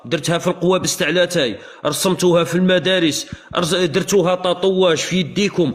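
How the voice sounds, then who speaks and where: With noticeable background noise around him, a high-voiced man speaks at very even loudness. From Algeria. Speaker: live streamer. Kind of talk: heated debate. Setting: livestream. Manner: animated.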